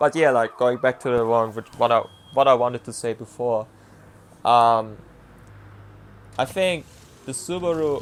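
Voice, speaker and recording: With a non-native accent, a man of medium pitch speaks at a moderate pace. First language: not English. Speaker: sim racing driver. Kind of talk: commentary over own race footage. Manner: halting, many fillers; casual.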